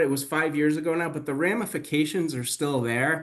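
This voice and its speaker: In a Boston accent, a man with a fairly high pitch talks at a fairly quick pace with ordinary pitch variation. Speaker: webinar host, healthcare facilities expert. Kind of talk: webinar discussion. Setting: online webinar. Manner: animated.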